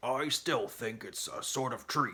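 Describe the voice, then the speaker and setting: Using a raspy, put-on character voice pitched fairly high, a man speaks at a fairly slow pace. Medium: read story. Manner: smug, stubborn.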